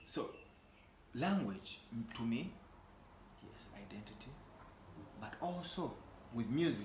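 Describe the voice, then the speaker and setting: Audible room echo surrounds a somewhat breathy speaker with a Ugandan accent, who talks at a fairly slow pace with very wide pitch swings, big swings in loudness, and long, frequent pauses. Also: man, medium pitch for a man. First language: Luganda. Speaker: singer-songwriter. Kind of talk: casual chat.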